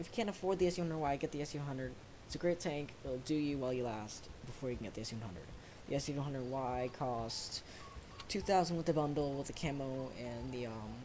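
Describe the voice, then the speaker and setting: Against noticeable background noise, the speaker talks at a very fast pace. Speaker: gaming YouTuber. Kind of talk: gameplay commentary voice-over. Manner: halting.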